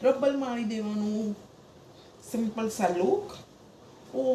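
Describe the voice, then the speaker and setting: Spoken in a north Gujarat accent with ordinary pitch variation, the clip carries noticeable background noise. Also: woman. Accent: Mehsana Gujarati dialect. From Mehsana, Gujarat. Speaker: vlogger and mother. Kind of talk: casual home vlog.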